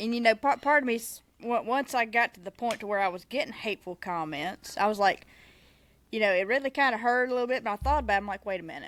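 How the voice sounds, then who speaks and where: Very fast and fairly high, a woman's voice carries a Southern US accent with ordinary pitch variation. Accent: Southern US accent, noticeable. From Mississippi. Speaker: podcast co-host, small business soap maker. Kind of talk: casual chat. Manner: animated.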